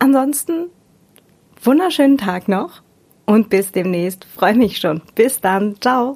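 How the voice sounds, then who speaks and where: Pitch swings very widely as a woman talks at a fairly high pitch. She goes at a very slow pace with long, frequent pauses. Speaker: podcast host. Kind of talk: casual chat. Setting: in-person group recording. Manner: smiling tone.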